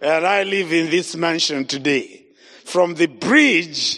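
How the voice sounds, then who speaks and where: In a Zimbabwean accent, a man speaks at a fairly slow pace. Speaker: evangelist. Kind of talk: sermon. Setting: church. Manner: animated.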